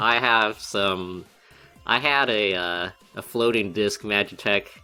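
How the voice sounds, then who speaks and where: Using a put-on character voice, a man drawls at a fairly slow pace in a fairly low pitch, with faint music in the background. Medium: actual play. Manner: casual, drawling, says y'all.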